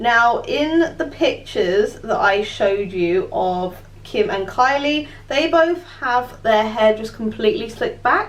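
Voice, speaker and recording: In a British accent, a woman speaks at a very slow pace with very wide pitch swings, and audible room echo surrounds her voice. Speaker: beauty vlogger. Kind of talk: tutorial.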